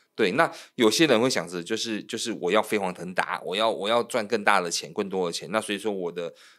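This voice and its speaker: In a very clean recording with a silent background, a man with an unremarkable speaking voice talks at a fairly quick pace with hardly any pauses, his fairly low pitch showing ordinary variation. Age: 40s. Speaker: loan manager and podcast co-host. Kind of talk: casual chat.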